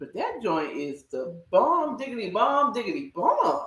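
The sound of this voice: A woman speaks slowly with lively intonation. Room echo is audible.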